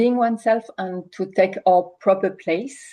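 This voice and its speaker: A woman with a strong French accent, a medium pitch, a dark, mellow tone and fairly even intonation. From France. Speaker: coach. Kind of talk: webinar hosting. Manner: halting.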